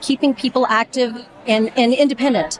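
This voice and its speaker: Noticeable background noise fills the clip. A woman talks over it. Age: 60s. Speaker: physical therapist, volunteer. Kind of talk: interview.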